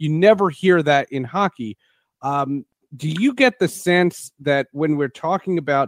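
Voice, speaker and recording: At a fairly slow pace, a man with an unremarkable speaking voice talks at fairly high pitch with lively intonation, in a very clean, silent recording with a dry, close sound and no echo. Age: 40s. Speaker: sports podcast host. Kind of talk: interview.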